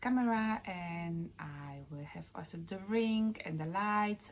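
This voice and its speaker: On a very clean recording with a silent background, a woman with a strong Polish accent speaks very slowly in a fairly low, somewhat breathy voice with lively intonation. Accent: Polish, Eastern European, strong. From Poland. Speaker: knitting vlogger. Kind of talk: casual vlog talk. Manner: halting, many fillers. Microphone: lower quality recording, no new camera yet.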